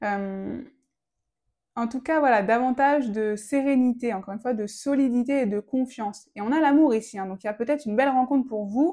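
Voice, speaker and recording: This woman has a high pitch with a dark, mellow tone, speaking at a fairly quick pace with ordinary pitch variation. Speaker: tarot reader. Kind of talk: tarot reading guidance. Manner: fast; halting with fillers.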